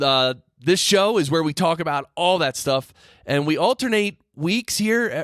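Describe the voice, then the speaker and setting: A man speaks in a normal speaking voice at a moderate pace with ordinary pitch variation, in a very clean recording with a silent background and a dry, close sound with no echo. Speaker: podcast engineering teacher and host. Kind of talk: podcast host monologue. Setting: close-miked studio recording. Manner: conversational, explanatory.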